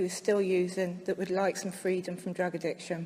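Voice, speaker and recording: A woman speaks at a medium pitch with a slight West Country accent. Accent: slight West Country twang. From West Country, near Bristol. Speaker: speaker at recovery convention. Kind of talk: recovery share to audience.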